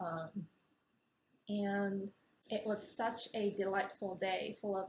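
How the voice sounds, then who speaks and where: Somewhat breathy delivery at a fairly slow pace. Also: woman. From Japan. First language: Japanese. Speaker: ceili dancer. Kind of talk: personal anecdote.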